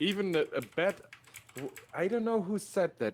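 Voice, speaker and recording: A man speaks with a German accent. The recording is very clean, with a silent background. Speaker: digital artist. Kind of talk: casual chat.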